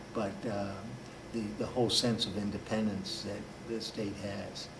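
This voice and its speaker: Over noticeable background noise and audible room echo, a man speaks fairly slowly in a fairly low, flat monotone. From Washington DC area. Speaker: author and political activist. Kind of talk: interview.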